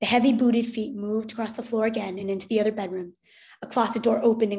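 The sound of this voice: An unforced reading voice, intonation fairly even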